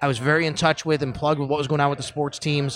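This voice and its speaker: A man's bright, sharp voice at a fairly high pitch, in a Buffalo accent. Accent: Western New York (Buffalo) American. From Buffalo, New York (Cheektowaga). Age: 30s. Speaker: sports radio host. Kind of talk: casual chat. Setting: pizza pub, recorded on location.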